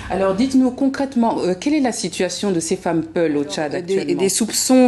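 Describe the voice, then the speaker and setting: Her intonation rises and falls in a lively way. Background noise is noticeable throughout. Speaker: TV news presenter. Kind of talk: TV studio interview questions.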